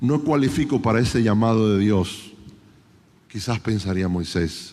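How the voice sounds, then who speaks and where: In a space with audible room echo, a man speaks at a fairly slow pace with lively intonation. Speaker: conference preacher. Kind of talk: sermon.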